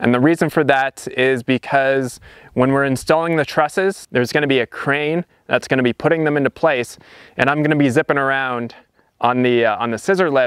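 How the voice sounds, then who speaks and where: Fairly even intonation from a man at a fairly quick pace, dry with no echo, over a quiet background. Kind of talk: tutorial. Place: open country.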